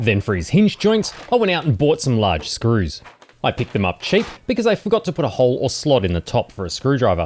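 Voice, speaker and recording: With an Australian accent and vocal fry, the speaker moves at a fairly quick pace through very wide pitch swings. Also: man, medium pitch for a man. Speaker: DIY maker YouTuber. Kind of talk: casual tutorial narration.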